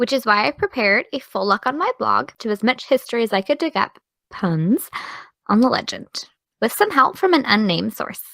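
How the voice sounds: Dry, close sound with no echo carries a put-on character voice at a moderate pace, its bright, sharp tone edged with vocal fry. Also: woman, fairly high pitch for a woman, lively intonation.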